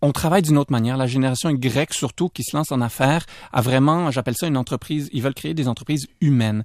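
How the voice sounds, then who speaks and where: Pitch variation is ordinary. The sound is dry and close with no echo. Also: man, very clean recording, silent background. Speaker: entrepreneur and author. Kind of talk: radio interview. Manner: hesitant, many fillers.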